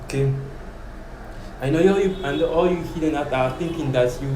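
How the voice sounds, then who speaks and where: Speaking fairly quickly, a man is heard. Both audible room echo and noticeable background noise are present. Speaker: preacher. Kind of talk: bible teaching. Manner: fast; halting.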